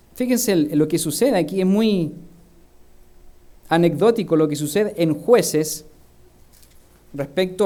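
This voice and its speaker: With a dark, mellow tone and a high pitch, a man speaks fairly slowly with ordinary pitch variation, and the room echo is audible. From Chile. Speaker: minister. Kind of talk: sermon.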